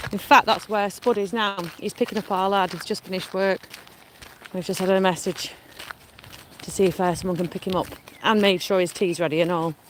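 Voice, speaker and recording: In a Lancashire accent, a woman talks at a fairly quick pace but with long, frequent pauses, her medium pitch held to fairly even intonation. Noticeable background noise runs underneath. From Lancashire, northern England. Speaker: vlogger. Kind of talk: casual chat.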